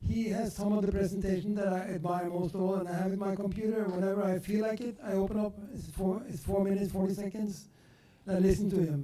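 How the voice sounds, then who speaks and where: A man talks at a very fast pace in a high voice, his intonation fairly even. Noticeable background noise runs under the recording. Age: 70s. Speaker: audience member at a talk. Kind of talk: audience question and comment.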